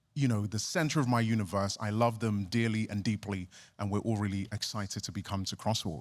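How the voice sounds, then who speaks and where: A man's fairly low voice, very fast, with fairly even intonation, on a very clean recording over a silent background. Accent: English. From England (born in Ghana, moved at seven). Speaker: pastor. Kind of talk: interview.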